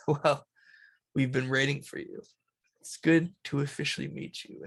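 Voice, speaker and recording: A put-on character voice, rumbling and low-to-middle in pitch, at a moderate pace. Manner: welcoming, calm.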